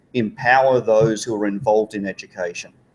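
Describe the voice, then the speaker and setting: A man with an Australian accent, medium pitch and a fairly quick pace. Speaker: education organization leader, former teacher. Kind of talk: live panel interview. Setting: conference with live audience.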